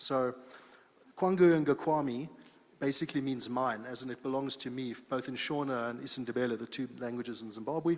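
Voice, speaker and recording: The speech moves at a fairly quick pace with fairly even intonation and big swings in loudness. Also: man, medium pitch for a man. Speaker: company founder presenting at a conference. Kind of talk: conference presentation. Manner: fast.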